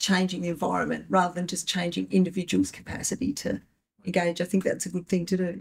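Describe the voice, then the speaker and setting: A woman talks with vocal fry. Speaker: panelist, writer; panelist. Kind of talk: panel discussion. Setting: live event with audience. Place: meeting room.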